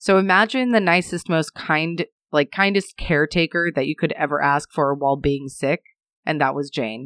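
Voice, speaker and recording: This woman's voice sits very deep and low, with lively intonation at a moderate pace. The sound is dry and close with no echo, over a quiet background. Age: 20s. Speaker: podcast co-host. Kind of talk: casual true-crime storytelling.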